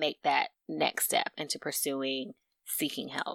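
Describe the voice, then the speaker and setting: The woman's tone is bright and sharp in a very clean recording with a silent background. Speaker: therapist, podcast co-host. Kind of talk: casual chat.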